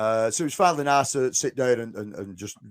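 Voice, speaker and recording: A man speaks with a strong northern English accent. His pace is fairly quick. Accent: thick northern English. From northwest England. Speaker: podcast host. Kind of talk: casual chat.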